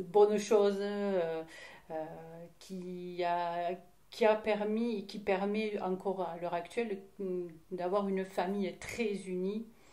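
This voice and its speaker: At a very slow pace, a woman talks in a monotone with flat intonation and a medium pitch. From southern France, Hérault (Mèze). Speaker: interviewee sharing life story. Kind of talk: testimony interview. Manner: halting, many hesitations.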